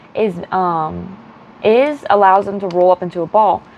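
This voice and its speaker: Through noticeable background noise, a woman of medium pitch speaks at a fairly slow pace. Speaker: crochet vlogger. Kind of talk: casual vlog. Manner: animated.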